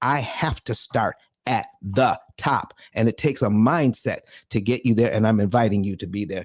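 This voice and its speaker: In a very clean recording with a silent background, a man talks in an ordinary speaking voice at a medium pitch and a moderate pace. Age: 60s. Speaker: financial educator and seminar host. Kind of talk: live audio room talk.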